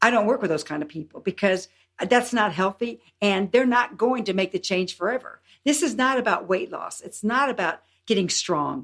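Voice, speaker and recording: At a moderate pace, a woman talks in an unremarkable speaking voice of medium pitch with lively intonation. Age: 60s. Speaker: health and longevity coach. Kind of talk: podcast interview.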